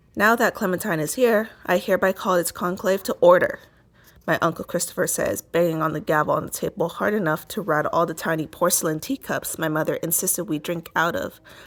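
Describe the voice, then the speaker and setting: In a very clean recording with a silent background, a woman with an ordinary speaking voice and a fairly low pitch talks at a fairly quick pace. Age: 20s. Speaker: podcaster reading a novel aloud. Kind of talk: reading aloud.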